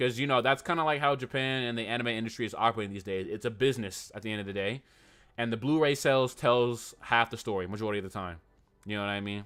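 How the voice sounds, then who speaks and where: Talking very fast, a man keeps a medium pitch with ordinary pitch variation. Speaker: anime YouTuber streaming live. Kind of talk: casual livestream chat. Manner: animated.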